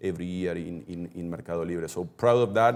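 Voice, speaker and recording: A man in a Spanish accent, at a moderate pace and with fairly even intonation. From Argentina. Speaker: e-commerce executive. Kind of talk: webinar interview. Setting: live webinar. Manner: halting.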